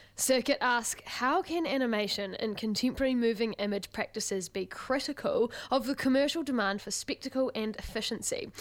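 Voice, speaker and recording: A woman with a New Zealand accent talks at a fairly quick pace with hardly any pauses. Her pitch is high, with ordinary variation. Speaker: student radio host. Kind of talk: radio interview and presenting. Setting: studio.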